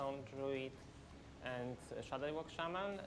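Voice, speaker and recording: Amid noticeable background noise and audible room echo, a woman with a Polish accent speaks at a moderate pace in a very deep, low voice with ordinary pitch variation. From Poland. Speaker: professional esports player. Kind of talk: pre-match interview. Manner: halting.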